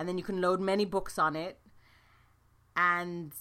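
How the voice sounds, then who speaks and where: The tone is bright and sharp. There is a slight British accent. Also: woman. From London, England. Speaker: nurse and podcast host. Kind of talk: solo podcast talk, informal. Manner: conversational, fillers, upbeat.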